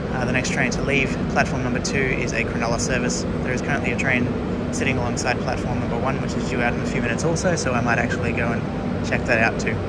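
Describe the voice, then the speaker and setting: Someone talks at a very fast pace over loud background noise. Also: man. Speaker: train enthusiast vlogger. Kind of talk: casual vlog chat. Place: station. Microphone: phone near.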